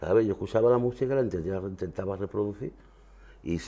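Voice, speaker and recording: There is ordinary pitch variation in this man's dark, mellow tone. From France (Marseille), Andalusian emigrant family; France. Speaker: flamenco guitarist; guest. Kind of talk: interview. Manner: halting. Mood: relaxed, reminiscing. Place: studio.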